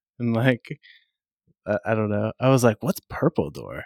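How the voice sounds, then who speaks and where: In a very clean recording with a silent background, a man talks at a moderate pace in a normal speaking voice, fairly low in pitch, with a dry, close sound and no echo. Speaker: podcast co-host. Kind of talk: casual chat.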